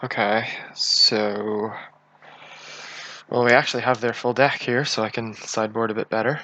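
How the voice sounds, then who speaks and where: A man at medium pitch and a moderate pace, flat and monotone, with long, frequent pauses and noticeable background noise. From Northern Ireland. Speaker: game streamer. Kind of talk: live gameplay commentary. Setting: live stream.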